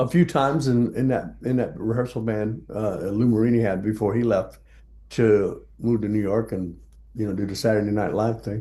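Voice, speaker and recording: Here is a man with a dark, mellow tone and an American accent. He speaks at a moderate pace. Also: medium pitch for a man, ordinary pitch variation. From South Texas. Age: 70s. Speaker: jazz bassist. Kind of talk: interview.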